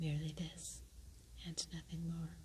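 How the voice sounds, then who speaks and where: Soft-spoken whispering at a moderate pace. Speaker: ASMR reader. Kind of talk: poetry reading. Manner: soft-spoken, whispered.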